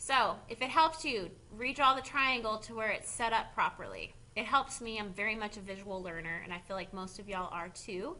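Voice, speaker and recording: The voice has a bright, sharp tone and big swings in loudness at a fairly quick pace. Room echo is audible. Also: woman, fairly high pitch for a woman. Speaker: high school math teacher. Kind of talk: video lecture tutorial.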